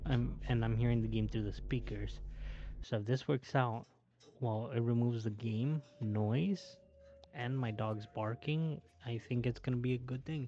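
Music can be heard in the background. Over it, a man talks at a moderate speed. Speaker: gaming YouTuber. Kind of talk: gameplay commentary. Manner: hesitant, many fillers.

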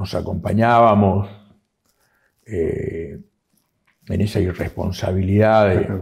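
Very slow, somewhat breathy speech from a man with a fairly low pitch. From Argentina, Corrientes province. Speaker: writer; interviewee. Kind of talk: interview. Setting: historic house, university seat. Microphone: lapel.

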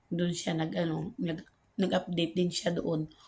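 A soft-spoken, somewhat breathy voice with a dark, mellow tone, monotone and flat intonation and a moderate pace, in a very clean recording with a silent background. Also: woman. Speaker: vlogger. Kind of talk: casual monologue update. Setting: outdoors at the back, filming while waiting.

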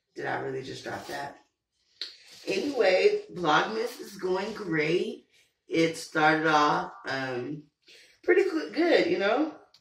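Slowly and with big pitch swings, a woman with a fairly low pitch speaks amid audible room echo.

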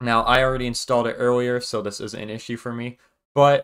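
The man talks at a fairly quick pace in a monotone, flat intonation. The background is quiet. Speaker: tech video creator. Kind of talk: tutorial. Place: home room.

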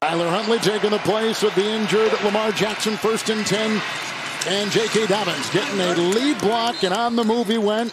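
The speech moves at a moderate pace, with a dry sound that has no echo and loud background noise. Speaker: play-by-play announcer. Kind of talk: live commentary. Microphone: headset.

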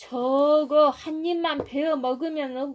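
A woman with a Jeolla accent, high-pitched and speaking at a very slow pace. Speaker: mother. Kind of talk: folk tale storytelling.

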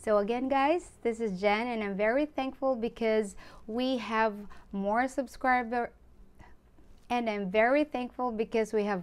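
A woman talks at a fairly high pitch with ordinary pitch variation. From Philippines. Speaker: online community founder and vlogger; vlogger. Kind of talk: promotional monologue. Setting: Facebook live stream. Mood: friendly, grateful. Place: home room. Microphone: phone near.

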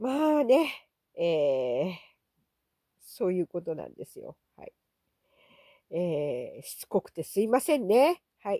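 A woman with a medium pitch and a dark, mellow tone speaks at a fairly slow pace with long, frequent pauses, very wide pitch swings and big swings in loudness, the sound dry and close with no echo. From Okinawa. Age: old. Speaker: YouTuber. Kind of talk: casual monologue vlog. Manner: chatty with many fillers.

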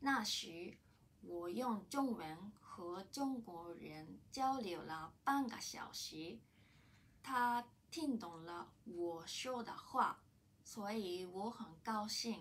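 Speaking very slowly with a Japanese accent, a woman uses lively intonation. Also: medium pitch for a woman. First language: Japanese (speaking Chinese). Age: 30s. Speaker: language student. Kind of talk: prepared testimony in learned language. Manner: halting. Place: office. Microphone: camera far.

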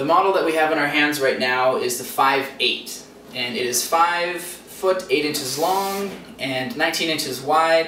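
Ordinary pitch variation comes through over light background noise, with audible echo from the room. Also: man. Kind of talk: product review. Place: studio.

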